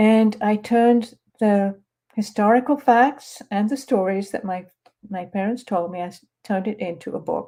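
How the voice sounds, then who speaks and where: With a dark, mellow tone and a medium pitch, a woman speaks at a moderate pace with ordinary pitch variation. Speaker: author. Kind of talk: author presentation. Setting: live online stream. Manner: halting.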